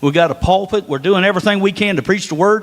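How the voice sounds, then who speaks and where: Someone with an Appalachian accent speaks at a fairly quick pace. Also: man. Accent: hillbilly twang. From northern US. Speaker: preacher. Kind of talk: sermon. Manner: animated.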